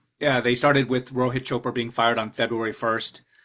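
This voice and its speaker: A man with an American accent talks at a fairly quick pace in a bright, sharp tone, his medium pitch held in a flat monotone against a quiet background. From US Midwest, Chicago. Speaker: mortgage regulatory expert. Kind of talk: webinar presentation. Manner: fast.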